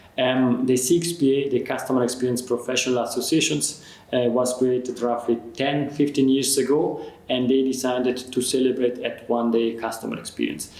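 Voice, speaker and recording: A man's medium-pitched voice in a non-native accent, with audible room echo and noticeable background noise. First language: not English. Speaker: customer experience expert. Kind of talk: interview conversation. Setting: in person, Zurich.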